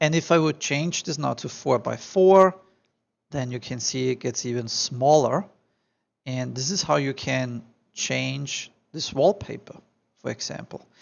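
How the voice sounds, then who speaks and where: A man's medium-pitched voice with a strong Austrian accent, fairly slow pace, ordinary pitch variation and long, frequent pauses. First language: German. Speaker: architectural visualization tutor. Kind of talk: tutorial. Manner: animated.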